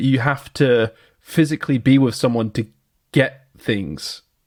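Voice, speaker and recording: There is a very clean recording with a silent background of a man speaking at a fairly slow pace in a West Country accent. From southwest England. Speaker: podcast co-host. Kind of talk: casual chat. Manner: animated.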